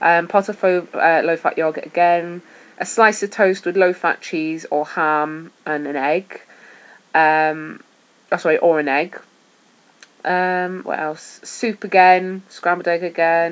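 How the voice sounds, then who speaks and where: A woman at a very slow pace, fairly low in pitch, with fairly even intonation. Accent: Welsh. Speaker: vlogger sharing weight-loss surgery diet. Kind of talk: casual vlog talk. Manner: hesitant, with fillers.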